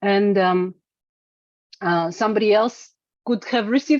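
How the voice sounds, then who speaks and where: A woman speaks at a moderate pace and medium pitch, with ordinary pitch variation and a Russian accent. The sound is dry and close, with no echo. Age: 40s. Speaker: singer-songwriter. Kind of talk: interview. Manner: halting, many fillers and repetitions.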